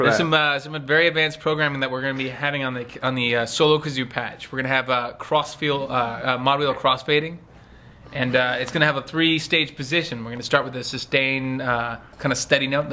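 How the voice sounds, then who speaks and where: Against light background noise, a man speaks at a moderate pace in a playful tone with a monotone, flat intonation. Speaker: sample library developer. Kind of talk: casual humorous vlog chat. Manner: playful, joking. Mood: playful, mock-boastful. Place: studio. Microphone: phone near.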